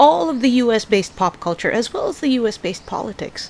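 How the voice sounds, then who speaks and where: A woman's lively intonation at a moderate pace, over noticeable background noise. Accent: American. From Philippines. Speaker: book reviewer. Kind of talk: casual book review vlog. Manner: casual, halting with fillers.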